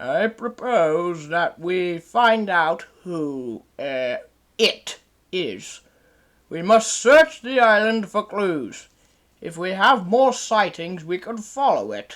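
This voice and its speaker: A put-on character voice at a middle pitch and a very slow pace, on a very clean recording with a silent background. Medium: audio drama. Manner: pompous, formal.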